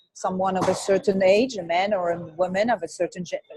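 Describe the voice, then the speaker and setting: A woman with a French accent speaks at a medium pitch in a dark, mellow, somewhat breathy tone. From France, Brittany. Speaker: image consultant. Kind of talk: interview.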